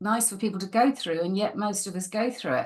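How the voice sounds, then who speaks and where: This woman has a northern English accent, a fairly high pitch and a somewhat breathy voice. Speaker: podcast host, stress management coach. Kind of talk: casual interview conversation.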